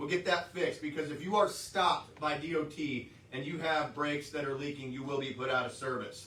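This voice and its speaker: Amid noticeable background noise and audible room echo, a man talks fairly quickly at a fairly high pitch with fairly even intonation. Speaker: trucking company safety staff. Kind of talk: workplace safety briefing. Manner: loud.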